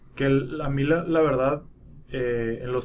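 A man talks at a moderate pace in an ordinary speaking voice. His intonation stays fairly even. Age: 20s. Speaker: podcast co-host. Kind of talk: casual chat.

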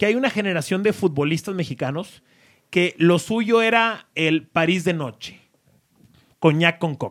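A man's high-pitched voice comes through at a fairly slow pace. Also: ordinary pitch variation, very clean recording, silent background. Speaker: podcast host. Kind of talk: casual chat.

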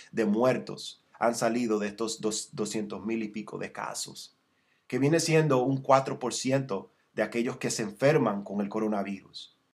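The man's medium-pitched voice moves at a fairly slow pace with ordinary pitch variation. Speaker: preacher. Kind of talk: sermon. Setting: broadcast or online transmission. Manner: earnest, exhortative pastoral delivery, teaching verse by verse; frequent self-repeats and restarts, slightly halting.

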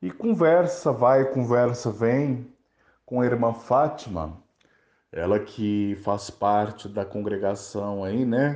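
A man's medium-pitched voice at a very slow pace with ordinary pitch variation and a quiet background. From Brazil, interior of Minas Gerais. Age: 30s. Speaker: journalist and campaign founder. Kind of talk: interview monologue.

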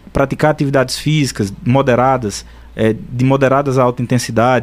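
With music in the background, a man talks at a moderate pace using fairly even intonation. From Pernambuco, Brazil (São Bento do Una). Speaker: psychiatrist. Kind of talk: radio interview.

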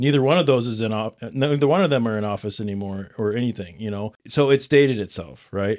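The recording is very clean with a silent background. A man with a Midwestern American accent speaks at a medium pitch with ordinary pitch variation. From Nebraska. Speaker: podcast host. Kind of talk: casual chat.

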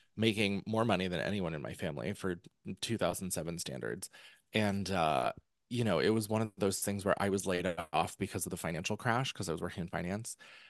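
A man with an American accent speaks at a fairly quick pace. His very deep, low voice carries vocal fry. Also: ordinary pitch variation. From central Pennsylvania. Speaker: author and former musical theatre performer. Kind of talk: casual interview chat.

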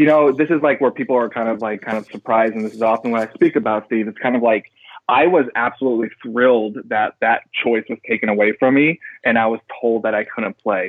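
A man talks at a fairly quick pace and medium pitch in a plain, everyday voice with ordinary pitch variation. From Texas Panhandle. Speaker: former football player turned public speaker. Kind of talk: interview.

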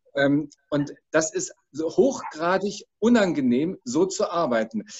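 Very wide swings in pitch from a male speaker. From Frankfurt. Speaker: emergency doctor. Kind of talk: panel discussion.

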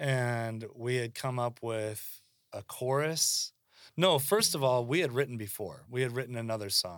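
A man with an American accent speaks in a plain, everyday voice at a fairly slow pace. The recording is very clean, with a silent background. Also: medium pitch for a man, ordinary pitch variation. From Seattle, US West Coast. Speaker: musician and songwriter. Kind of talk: casual chat.

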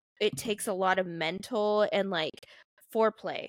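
A woman with an unremarkable speaking voice uses fairly even intonation, in a dry, close recording with no echo. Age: 20s. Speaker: podcast host. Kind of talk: casual chat.

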